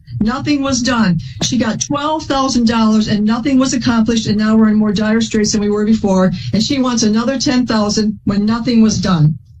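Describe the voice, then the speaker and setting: Amid audible room echo and noticeable background noise, a woman speaks fairly quickly at a fairly high pitch with ordinary pitch variation. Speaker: plaintiff in a court case. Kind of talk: courtroom testimony. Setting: courtroom. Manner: loud; fast.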